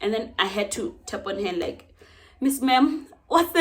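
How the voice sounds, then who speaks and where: The speaker is a woman with a high pitch. Noticeable background noise can be heard. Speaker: book vlogger. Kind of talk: casual vlog talk. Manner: fast; stumbling over words.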